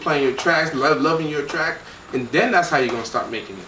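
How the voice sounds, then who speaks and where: Amid noticeable background noise and audible room echo, a man with an American accent speaks at a fairly high pitch. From Miami, Florida, Haitian family. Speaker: record label co-founder. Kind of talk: casual interview.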